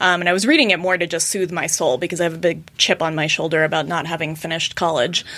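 Over noticeable background noise, a woman with an American accent and a fairly low pitch talks at a very fast pace with hardly any pauses and fairly even intonation. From US West (Colorado). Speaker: butcher shop owner and regenerative agriculture advocate. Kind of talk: casual interview.

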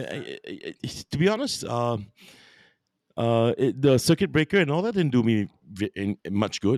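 A man at a medium pitch and moderate pace, very wide pitch swings, long, frequent pauses, a dry, close sound with no echo, and a very clean recording with a silent background. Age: 50s. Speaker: podcaster and voice artist. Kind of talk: casual chat.

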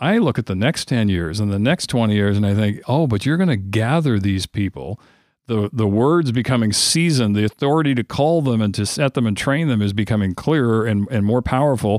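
A man with a normal speaking voice talks at a fairly quick pace and medium pitch, his intonation lively and his loudness very even, in a very clean recording with a silent background and a dry, close sound with no echo. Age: 50s. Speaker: prayer ministry director. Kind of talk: interview.

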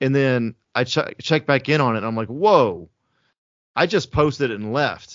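The speaker has a normal speaking voice with an American accent and lively intonation. The pace is moderate. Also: man, medium pitch for a man. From US South (Alabama/Georgia). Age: 30s. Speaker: film director. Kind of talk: casual interview. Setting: video call.

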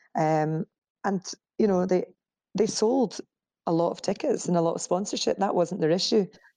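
A dark, mellow tone with a Scottish accent, broken by long, frequent pauses. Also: woman, medium pitch for a woman, ordinary pitch variation, moderate pace. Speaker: media company co-founder. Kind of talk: interview. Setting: remote call.

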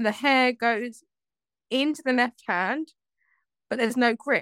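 The recording of this woman is very clean with a silent background, and the sound is dry and close with no echo. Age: 20s. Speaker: mindset coach. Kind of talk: interview.

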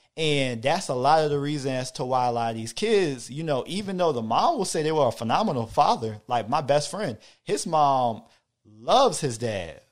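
A man with an American accent and a plain, everyday voice, fairly high in pitch, at a moderate pace with lively intonation. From Hampton, Virginia. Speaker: father and podcast listener. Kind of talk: casual chat.

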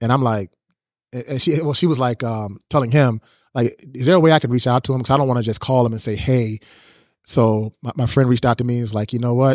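A man with an American accent speaks at a very fast pace and medium pitch, with fairly even intonation. The sound is dry and close with no echo, on a very clean recording with a silent background. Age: 40s. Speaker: photographer. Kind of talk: casual interview. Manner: halting with many fillers.

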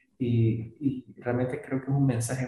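With music playing in the background, a man speaks at a moderate pace in a monotone, flat intonation. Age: 40s. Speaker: podcast host. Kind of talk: interview.

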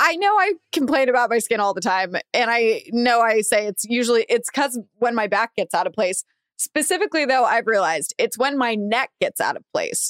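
A woman with a plain, everyday voice talks at a fairly high pitch and moderate pace, with lively intonation and hardly any pauses, in a dry, close sound with no echo. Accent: American. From Los Angeles area, US. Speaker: podcast co-host. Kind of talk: casual chat.

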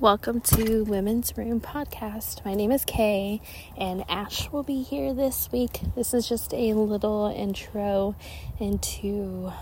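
Noticeable background noise runs beneath a woman talking with an American accent. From Ohio, US. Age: 30s. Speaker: podcast host. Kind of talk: casual monologue. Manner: hesitant, many fillers.

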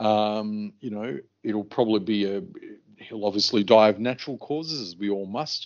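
In an Australian accent, the speaker goes at a moderate pace with ordinary pitch variation. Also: man, fairly low pitch for a man. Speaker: podcast co-host. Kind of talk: casual chat.

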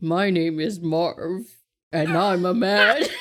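At a very slow pace, a put-on character voice speaks at a middle pitch.

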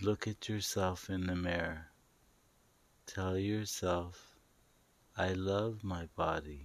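A man speaks in a very deep, low voice at a very slow pace with a calm, soothing tone, fairly even intonation, long and frequent pauses, and a quiet background. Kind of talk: guided meditation / hypnosis-style script, spoken directly to listener. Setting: online video/audio recording for home listening. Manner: slow, calm, soothing, repetitive with pauses; gently commanding, coaxing, direct address.

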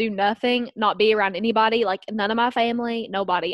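A woman talks with a strong Southern US accent. The sound is dry and close, with no echo. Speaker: podcast guest co-host. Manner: giggly, casual, lots of filler words.

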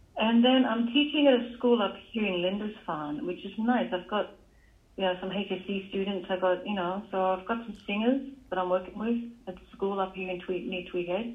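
With an Australian accent, a woman speaks at a moderate pace and medium pitch with ordinary variation. Her loudness swings a lot. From Australia, Newcastle NSW. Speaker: jazz musician. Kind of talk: interview.

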